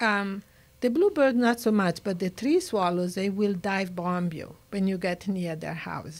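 A woman speaks in an Italian accent with ordinary pitch variation. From Italy. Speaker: nature conservationist. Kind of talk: interview. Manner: animated. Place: studio. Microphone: studio mic.

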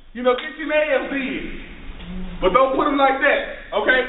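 Amid audible room echo, a man with an extremely high pitch talks at a fairly quick pace in fairly even intonation. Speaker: minister preaching. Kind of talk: rousing call-and-response sermon to a congregation. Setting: church service with live audience. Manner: fervent, repetitive preacher cadence with rhetorical questions; informal, stumbling with fillers and restarts. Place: classroom. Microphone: camera far.

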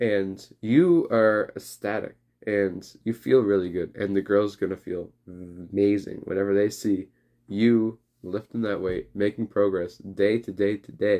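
This man has a plain, everyday voice with a fairly low pitch. He talks at a fairly slow pace with fairly even intonation. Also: quiet background. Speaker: fitness vlogger. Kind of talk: casual vlog chat. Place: home room. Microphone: phone near.

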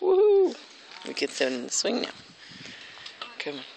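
Light background noise sits behind a woman speaking at a fairly slow pace, with a dry sound and no echo. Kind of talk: casual vlog chat, baby talk. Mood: affectionate, playful. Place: garden. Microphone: phone near.

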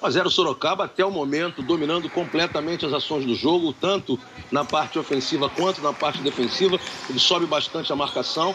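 Very fast talk with ordinary pitch variation over noticeable background noise. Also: man. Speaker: color commentator. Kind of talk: live commentary.

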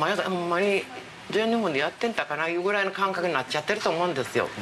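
Clear music plays in the background as a woman speaks in a Kansai accent. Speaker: former volleyball player. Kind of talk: interview answer. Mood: reflective, earnest. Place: home room.

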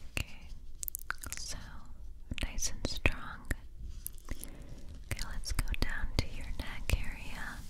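A woman whispers her words at a very slow pace. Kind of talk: soft-spoken ASMR roleplay. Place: home room.

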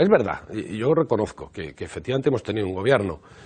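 Against a quiet background, a man talks at a moderate pace in a somewhat breathy voice with very wide pitch swings. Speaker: party politician. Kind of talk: live TV interview answer. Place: office. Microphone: lapel.

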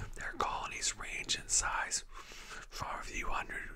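A soft-spoken man whispering at a fairly slow pace over light background noise. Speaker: vlogger. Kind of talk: reading aloud from text. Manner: soft whisper while chewing gum. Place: home room. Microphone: webcam.

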